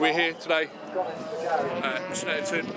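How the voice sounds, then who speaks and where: A man's dry sound with no echo sits against loud background noise. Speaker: hobby vlogger. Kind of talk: casual vlog chat. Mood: cheerful, relaxed. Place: open country. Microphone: phone near.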